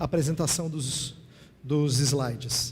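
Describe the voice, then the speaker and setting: Man at a very slow pace with fairly even intonation. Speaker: pastor and theology lecturer. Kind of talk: sermon-style lecture.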